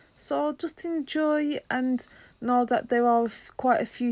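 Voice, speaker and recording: Nothing is heard in the background of this very clean recording. No echo colors the dry, close sound. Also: woman. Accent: English. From England. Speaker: podcast co-host. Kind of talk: casual chat.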